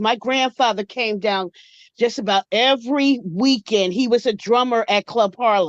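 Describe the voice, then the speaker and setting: A woman with a plain, everyday voice and fairly high pitch speaks at a moderate pace, in a dry, close sound with no echo and a quiet background. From Atlantic City, New Jersey. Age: 60s. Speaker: caller. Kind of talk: call-in comment.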